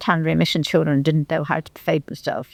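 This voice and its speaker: In a Merseyside accent, a woman with a fairly low pitch speaks in a dry, close sound with no echo. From northern England, Litherland near Liverpool. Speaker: local history speaker. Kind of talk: reminiscence talk to a society. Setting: hall with live audience. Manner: halting.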